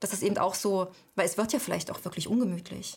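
Vocal fry runs through this woman's speech. She talks at a fairly quick pace. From eastern Germany, Halle an der Saale. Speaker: author and editor. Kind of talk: interview.

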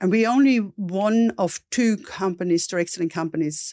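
A woman with a dark, mellow tone and an Austrian accent speaks at a moderate pace with ordinary pitch variation. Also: very clean recording, silent background. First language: German. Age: 50s. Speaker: entrepreneur. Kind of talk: interview.

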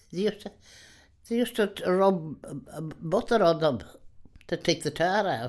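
A woman with a Donegal accent speaks at a moderate pace in a fairly low pitch, her intonation lively and her pauses long and frequent. The recording is very clean, with a silent background. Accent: Irish (Donegal), rural. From Ireland, rural Donegal. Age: 80s+. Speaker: retired countrywoman, interviewee. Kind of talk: reminiscing interview. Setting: her home.

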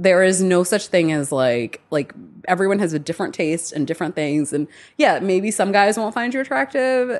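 A woman speaks in an animated tone at medium pitch, her voice swinging very widely up and down. She keeps a moderate pace against a quiet background. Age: 30s. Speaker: romance author. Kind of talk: casual chat. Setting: in-person sit-down over cake. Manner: animated, laughing often.

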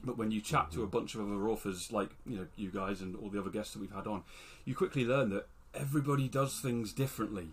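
A man with a British accent talks at a very fast pace in a fairly low pitch. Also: ordinary pitch variation. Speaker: podcast co-host, fantasy author. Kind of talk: casual chat.

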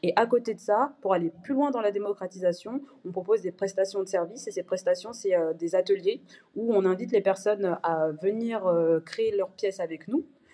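A woman speaks at a medium pitch with a dark, mellow tone and ordinary pitch variation. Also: moderate pace. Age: 20s. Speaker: fashion brand co-founder. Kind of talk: interview.

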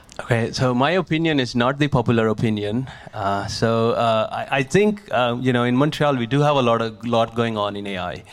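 A man's medium-pitched voice at a moderate pace, with ordinary pitch variation, hardly any pauses and noticeable background noise. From India, small village. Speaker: tech startup founder and speech scientist. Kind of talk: live talk with Q&A. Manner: halting, many fillers.

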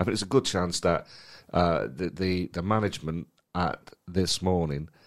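In a very clean recording with a silent background, a man with a very deep, low pitch talks with ordinary pitch variation. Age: middle-aged. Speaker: comedy promoter and podcast co-host. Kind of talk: casual chat.

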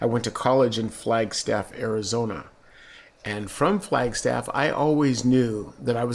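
With a Southern Californian accent, a man speaks at a moderate pace and a medium pitch. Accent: general American, Southern Californian. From San Diego, California. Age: 50s. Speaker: retired police officer. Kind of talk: casual interview recollection.

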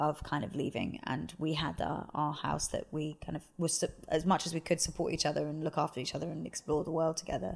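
Speaking at a fairly quick pace with hardly any pauses, a woman uses a very deep, low pitch, vocal fry and fairly even intonation. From England. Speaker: cult survivor and author. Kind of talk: interview testimony.

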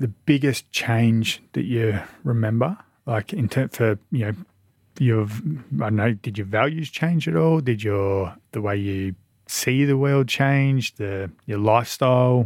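An Australian-accented man at medium pitch and a fairly slow pace, ordinary pitch variation, on a very clean recording with a silent background. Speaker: podcast host. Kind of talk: interview chat.

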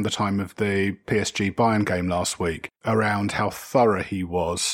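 With an English accent, a man talks in a fairly low pitch. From England. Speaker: football podcast panelist. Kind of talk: casual chat.

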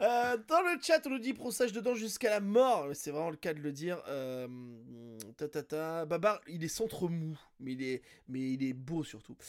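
Speaking at a fairly slow pace, a man uses a high pitch that moves in very wide swings. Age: 40s. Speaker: podcast host. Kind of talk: casual chat.

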